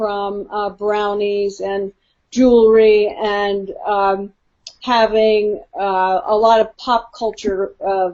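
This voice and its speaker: Speaking at a very slow pace, a woman has an American accent. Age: 60s. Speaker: author. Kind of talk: interview.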